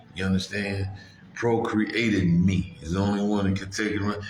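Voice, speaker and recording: A fairly low-pitched man at a moderate pace, with audible room echo and noticeable background noise. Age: 50s. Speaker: truck driver and vlogger. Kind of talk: casual monologue.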